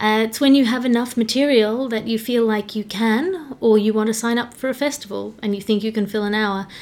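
A woman's fairly high voice at a fairly quick pace with hardly any pauses, fairly even intonation and noticeable background noise. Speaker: comedian and podcast host. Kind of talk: solo Q&A podcast, casual monologue. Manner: fast.

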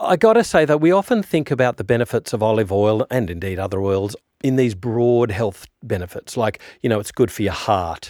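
A man speaks with an Australian accent at a moderate pace, his pitch rising and falling in an ordinary way. The sound is dry and close with no echo, and the recording is very clean over a silent background. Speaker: podcast host interviewer. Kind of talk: interview.

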